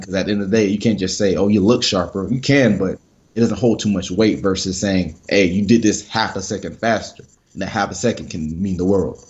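In a normal speaking voice, a man with an American accent talks at a fairly quick pace, his fairly low pitch held to fairly even intonation. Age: 20s. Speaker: sports psychologist. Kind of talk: podcast interview.

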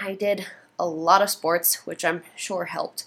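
In a plain, everyday voice, the speaker moves at a moderate pace with ordinary pitch variation. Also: woman. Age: 20s. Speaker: podcaster with ADHD. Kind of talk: personal monologue.

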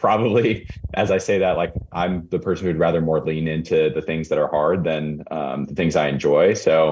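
This is a man speaking. He talks with a West Coast accent. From Portland, Oregon suburbs. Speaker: real-estate developer. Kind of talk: casual interview.

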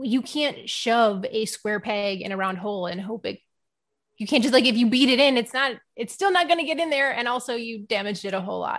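In a plain, everyday voice, a woman with an American accent speaks fairly high and fairly quickly, her intonation lively. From Texas, Houston. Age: 30s. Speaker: ADHD coach for moms, podcaster. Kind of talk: interview.

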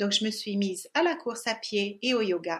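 A woman's fairly high voice in a Hungarian accent, very cleanly recorded over a silent background. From Hungary. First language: Hungarian (speaking French). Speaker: yoga teacher and podcast co-host. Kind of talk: scripted introduction.

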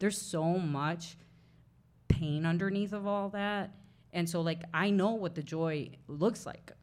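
A woman's fairly low voice at a fairly slow pace, fairly even in intonation, with audible room echo. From Mexican-American family, farming community. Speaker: playwright. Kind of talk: live interview before audience. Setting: bookshop with live audience.

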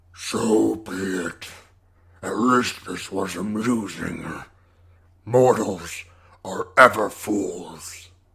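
A man puts on a raspy character voice with a fairly low pitch. He speaks very slowly, with long, frequent pauses. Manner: menacing, contemptuous, grandiose.

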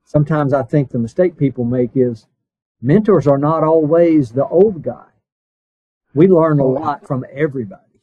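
Using an ordinary speaking voice with an American accent, a man talks at a moderate pace and a fairly high pitch, with ordinary pitch variation. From US East Coast. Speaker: podcast host. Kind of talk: interview.

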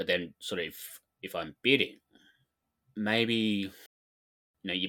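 This man has an Australian accent and a fairly low pitch. He talks at a fairly slow pace. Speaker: podcast co-host. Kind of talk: casual chat.

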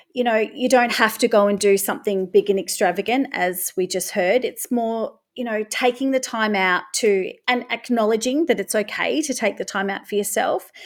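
On a very clean recording with a silent background, a woman with an Australian accent speaks at a moderate pace, her fairly high voice full of lively intonation. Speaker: English teacher. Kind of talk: panel discussion.

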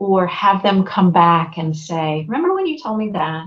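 This is a woman talking. There is a somewhat breathy quality to her voice. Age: 50s. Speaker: voice and life coach. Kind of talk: casual interview chat.

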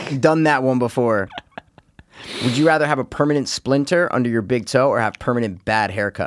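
Animated in tone, a man talks at a fairly quick pace. His pitch is medium with ordinary variation. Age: 30s. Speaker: podcast co-host. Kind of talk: casual chat.

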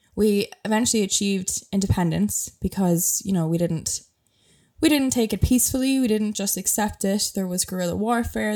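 In a very clean recording with a silent background, a woman speaks at a fairly quick pace with a slight Irish accent. Her medium-pitched voice has a dark, mellow tone and ordinary pitch variation. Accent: mild Irish. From Ireland. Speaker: travel podcast host. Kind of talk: casual solo podcast monologue. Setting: home bedroom, video recording. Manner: chatty, laughs often.

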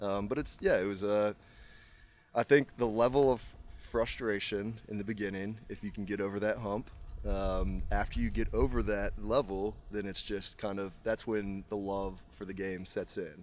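A man with a normal speaking voice and fairly low pitch talks at a moderate pace, his pitch varying in an ordinary way. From Virginia, Charlottesville. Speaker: amateur golfer. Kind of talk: casual chat. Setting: country club after a golf round.

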